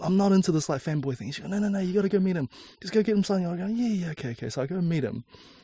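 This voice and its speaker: Speech comes from a man, somewhat breathy in tone. He moves along at a very fast pace. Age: 20s. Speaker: architect and designer. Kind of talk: interview. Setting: in a camper van.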